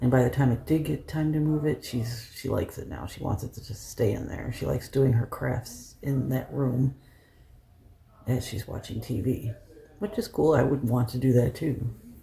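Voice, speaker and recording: Soft-spoken and dark, mellow in tone, a man speaks with vocal fry. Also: medium pitch for a man, ordinary pitch variation, moderate pace. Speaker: lifestyle vlogger. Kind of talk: casual vlog talk. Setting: at home.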